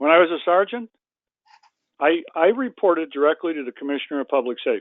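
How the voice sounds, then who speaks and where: A man's high-pitched voice with lively intonation, a very fast pace and long, frequent pauses. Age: 70s. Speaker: retired state trooper and suicide-prevention advocate. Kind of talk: interview. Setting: webinar call. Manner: animated.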